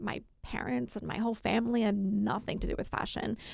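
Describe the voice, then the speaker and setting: A woman talks at a moderate pace in an Australian accent. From Australia, Rockhampton, Queensland. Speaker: fashion sourcer and writer. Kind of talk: podcast interview.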